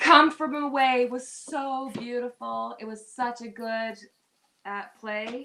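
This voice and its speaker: A woman with a Newfoundland accent speaks very slowly in a bright, sharp tone. Her intonation stays fairly even. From Newfoundland, Canada. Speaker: live stream guest. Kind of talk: casual chat.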